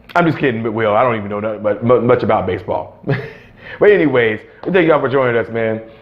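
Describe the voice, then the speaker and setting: A man with a medium pitch and ordinary pitch variation races along very fast while noticeable background noise carries on. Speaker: YouTube horror commentary co-host. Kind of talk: casual chat. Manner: stuttering.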